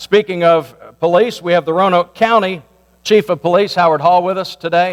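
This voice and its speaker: A loud, high male voice at a moderate pace, with a dry, close sound and no echo. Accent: American. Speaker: pastor. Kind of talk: community meeting address. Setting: church meeting with microphone.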